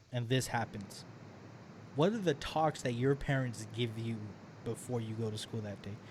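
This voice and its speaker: Medium-pitched man, somewhat breathy, at a moderate pace with ordinary pitch variation and long, frequent pauses. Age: 20s. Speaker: podcast host. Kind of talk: casual chat.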